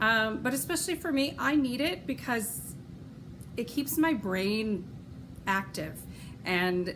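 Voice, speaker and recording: With a western New York accent, a woman speaks very slowly at a fairly high pitch, her intonation lively, with long, frequent pauses and audible room echo. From Rochester, New York. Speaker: knitting podcaster and opera singer. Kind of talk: casual podcast monologue. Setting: at home. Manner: chatty with many fillers.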